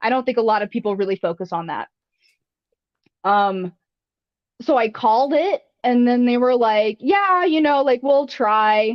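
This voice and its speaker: A woman's high voice with lively intonation and long, frequent pauses. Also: moderate pace. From US South, with British mother; some time in England. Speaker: fossil preparator. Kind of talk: interview on a live podcast. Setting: live stream. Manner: hesitant, many fillers and restarts.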